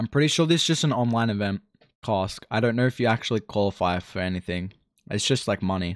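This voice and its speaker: The speech comes at a very fast pace with ordinary pitch variation, on a very clean recording with a silent background and a dry, close sound with no echo. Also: man, fairly low pitch for a man. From Australia. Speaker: Dota 2 streamer and caster. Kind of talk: casual live-stream commentary. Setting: live stream. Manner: casual, relaxed.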